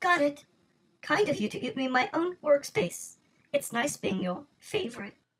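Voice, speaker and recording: A put-on character voice, high in pitch, with very wide pitch swings. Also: moderate pace. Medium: audio drama. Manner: dry, self-assured.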